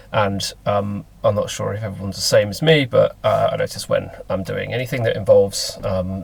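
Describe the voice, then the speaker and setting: Over noticeable background noise, a man with a Lincolnshire accent speaks with hardly any pauses. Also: fairly quick pace. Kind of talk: casual talk to camera. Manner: hesitant, many fillers.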